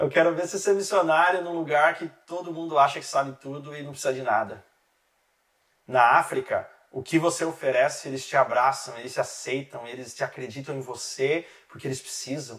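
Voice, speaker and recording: Using a normal speaking voice, a man talks at a fairly quick pace and a fairly high pitch, with big swings in loudness. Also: ordinary pitch variation. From Brazil, interior of São Paulo state. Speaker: relationship specialist, author and missionary. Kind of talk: podcast interview. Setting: studio.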